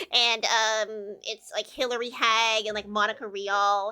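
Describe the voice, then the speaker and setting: Speaking at a moderate pace with an American accent, a woman sounds animated, her fairly high voice bright and sharp in tone. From US Midwest. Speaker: vtuber streamer. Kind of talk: casual livestream chat. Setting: live stream. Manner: animated, filler-heavy.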